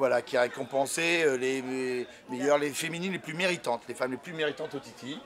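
Over light background noise, a man talks at a fairly quick pace in a plain, everyday voice, pitched fairly high. His intonation is fairly even, while his loudness swings widely. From France. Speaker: motorcycle show host. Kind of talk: field reporting and interviews. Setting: outdoors at a race paddock. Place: tent.

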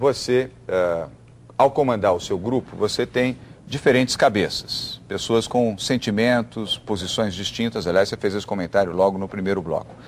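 Against light background noise, a man speaks in a fairly low pitch with ordinary pitch variation. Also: moderate pace. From Brazil. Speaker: TV business show host. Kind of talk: TV interview. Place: studio. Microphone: lapel.

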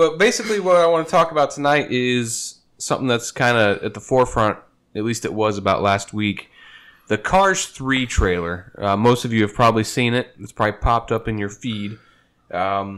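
The intonation is lively and the pace moderate. The background is quiet. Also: man. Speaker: podcast host. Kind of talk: casual podcast talk. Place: home room. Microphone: studio mic.

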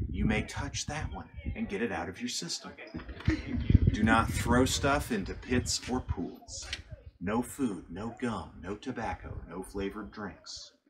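A man's fairly low voice at a fairly slow pace with lively intonation, over noticeable background noise. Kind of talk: safety briefing to tour group. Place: open country. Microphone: camera far.

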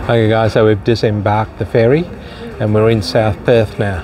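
A man at a fairly low pitch, with fairly even intonation and a moderate pace, over noticeable background noise. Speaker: travel vlogger. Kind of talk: casual vlog chat. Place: waterside. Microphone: phone near.

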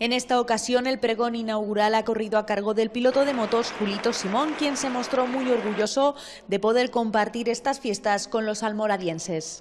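Over noticeable background noise, a woman talks with hardly any pauses, her intonation fairly even and her pitch fairly high. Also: moderate pace. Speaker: TV news reporter. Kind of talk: local TV news report voice-over.

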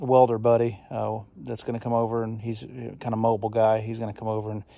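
Flat and monotone, a man talks at a moderate pace. His tone is dark and mellow, and the sound is dry with no echo. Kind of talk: casual vlog chat. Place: open country. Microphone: phone near.

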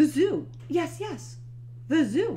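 Put-on character voice from a woman, high-pitched and slow, with big pitch swings and clear background noise.

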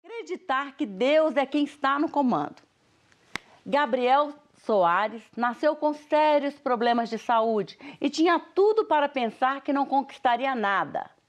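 A woman's high-pitched voice with lively intonation, at a fairly slow pace, over a quiet background. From Brazil. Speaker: TV show host, pastor. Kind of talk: TV interview. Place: studio.

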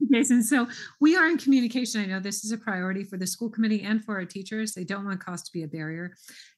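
A woman with an American accent and a fairly high, somewhat breathy voice uses ordinary pitch variation while her loudness swings widely. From Southern California. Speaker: school superintendent. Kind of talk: public meeting discussion. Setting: video call.

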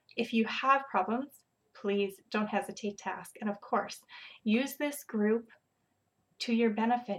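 The recording is very clean with a silent background as a woman speaks at a fairly slow pace, her fairly high voice keeping a fairly even intonation. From Saskatchewan, Canada. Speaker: fitness coach and pre-kindergarten teacher. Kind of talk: casual video chat. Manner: hesitant, filler-heavy.

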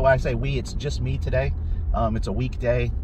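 The sound is dry with no echo, the pace is fairly quick, and there is noticeable background noise. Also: man. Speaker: hiker vlogger. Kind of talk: casual vlog chat. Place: car. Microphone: phone near.

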